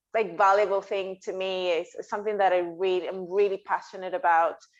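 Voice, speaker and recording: Against a quiet background, a woman with a Spanish accent speaks at medium pitch in a monotone, flat intonation. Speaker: dietitian. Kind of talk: podcast interview.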